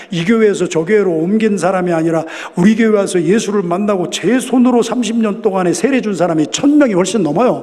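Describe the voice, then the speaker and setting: A man's high voice at a fairly quick pace, with ordinary pitch variation, noticeable background noise and audible room echo. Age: 60s. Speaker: pastor. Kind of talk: sermon. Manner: loud.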